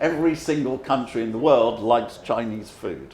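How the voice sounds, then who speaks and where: Noticeable background noise and audible room echo surround this recording. A man with a London accent speaks at a moderate pace with lively intonation. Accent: English, London area. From England. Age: 70s. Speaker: economist. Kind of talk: lecture.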